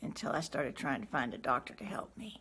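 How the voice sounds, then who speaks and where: Lively intonation and vocal fry mark a woman speaking at a fairly quick pace. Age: 60s. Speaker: chronic pain patient. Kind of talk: testimony.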